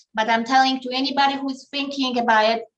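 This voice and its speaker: A bright, sharp tone from a woman at a high pitch. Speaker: realtor. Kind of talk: interview. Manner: energetic.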